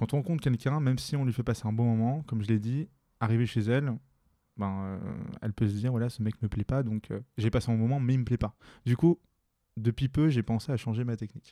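Recorded dry and close with no echo against a silent background on a very clean track, a man speaks fairly quickly in a dark, mellow tone at medium pitch with ordinary pitch variation. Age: 20s. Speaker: podcast guest, single man who practices street pickup. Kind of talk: casual interview conversation. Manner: halting, many hesitations and repetitions.

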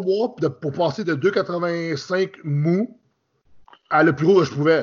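A man speaks in a fairly high voice. His pitch varies in an ordinary way. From Quebec. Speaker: professional bodybuilder. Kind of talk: casual interview.

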